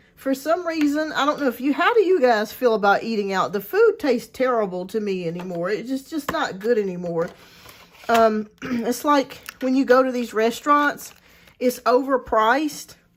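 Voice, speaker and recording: Against noticeable background noise, a woman with a high pitch speaks at a moderate pace with lively intonation. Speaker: tarot reader livestream host. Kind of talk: casual livestream chat. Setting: live stream.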